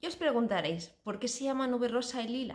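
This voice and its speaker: A woman's voice against a quiet background. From Spain. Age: 40s. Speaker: cooking YouTuber. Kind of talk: casual vlog introduction. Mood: warm, cheerful. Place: home room. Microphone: phone near.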